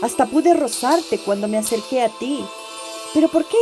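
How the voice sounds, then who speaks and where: A woman is speaking. There is music in the background. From Ecuador. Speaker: writer narrating her own story. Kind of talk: audio story reading.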